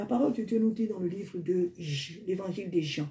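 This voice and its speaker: A woman's dark, mellow, somewhat breathy voice at a moderate pace, with ordinary pitch variation. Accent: non-native. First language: not French (speaking French). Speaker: preacher. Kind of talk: sermon. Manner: halting.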